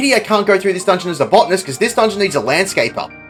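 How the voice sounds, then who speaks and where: A man is speaking. Music plays in the background. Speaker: game guide narrator. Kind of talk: video game tutorial narration. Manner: fast.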